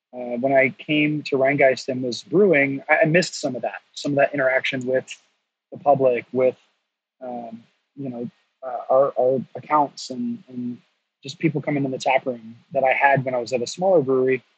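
Moderate pace and fairly even intonation from a man with an unremarkable speaking voice, pitched in the medium range. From North Carolina. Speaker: brewery education director. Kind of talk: casual interview.

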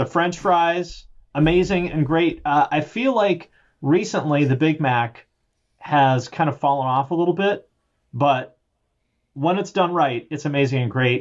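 Fairly high-pitched man with an ordinary speaking voice and an American accent, fairly slow, with ordinary pitch variation. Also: quiet background. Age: 40s. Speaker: music YouTuber. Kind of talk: casual chat.

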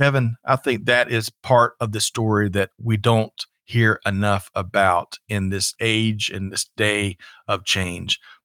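Speaking with a Southern US accent, a man uses a fairly low pitch, a bright, sharp tone and fairly even intonation at a very slow pace with hardly any pauses. The recording is very clean, with a silent background. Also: dry, close sound with no echo. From US South, South Carolina. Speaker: podcast host. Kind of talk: casual livestream chat.

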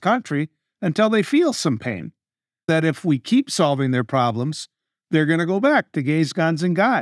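The voice moves at a moderate pace with very wide pitch swings. The sound is dry and close with no echo, in a very clean recording with a silent background. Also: man. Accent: Upper Midwest. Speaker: radio talk show host, co-host. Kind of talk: casual political discussion.

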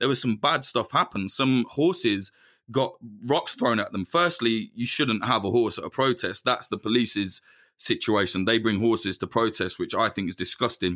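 Lively intonation and an animated tone drive a bright, sharp voice. The recording is very clean, with a silent background. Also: man, medium pitch for a man, moderate pace. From English Midlands. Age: 30s. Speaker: journalist. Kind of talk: interview.

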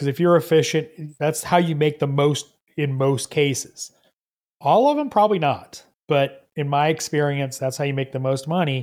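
With a Southern US accent, the speaker keeps a moderate pace and fairly even intonation on a very clean recording with a silent background. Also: man, fairly high pitch for a man. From US South, Georgia. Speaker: auto mechanic and content creator. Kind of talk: casual interview chat. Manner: halting, many fillers and restarts.

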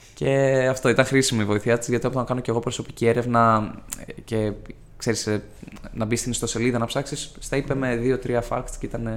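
The man's voice sits at a medium pitch. His delivery is flat and monotone. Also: moderate pace. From Greece, Ioannina (Epirus). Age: 20s. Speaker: law student. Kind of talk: casual interview.

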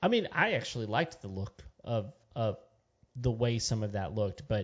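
At a moderate pace, a man with a Texan accent speaks at a medium pitch. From West Texas. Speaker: podcast co-host. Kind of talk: casual chat. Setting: studio.

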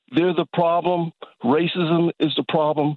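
A man speaks at a moderate pace. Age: 60s. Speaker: caller. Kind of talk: call-in discussion. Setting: phone call.

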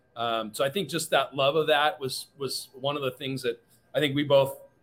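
A man with a fairly high pitch speaks at a moderate pace over music in the background. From Washington State, US (Kirkland). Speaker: bar owner. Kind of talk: interview.

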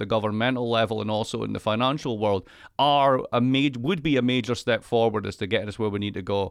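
Speaking with a Scottish accent, the voice moves at a fairly quick pace with ordinary pitch variation. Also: man. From Scotland. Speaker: economist. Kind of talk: casual chat.

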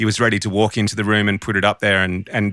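A man with an Australian accent, fairly low-pitched yet bright and sharp in tone, at a fairly quick pace, in a dry, close sound with no echo and a very clean recording over a silent background. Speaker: audio engineer and podcast co-host. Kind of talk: casual chat.

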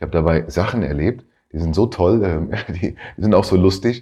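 Vocal fry runs through a dark, mellow tone delivered at a moderate pace with lively intonation, over a quiet background. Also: man. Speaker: career coach and podcast host. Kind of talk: casual solo podcast talk. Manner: halting, many fillers.

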